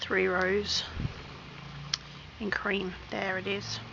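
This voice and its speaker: A woman speaks in an Australian accent at a medium pitch with lively intonation. Noticeable background noise runs underneath. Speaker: crochet hobbyist. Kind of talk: tutorial.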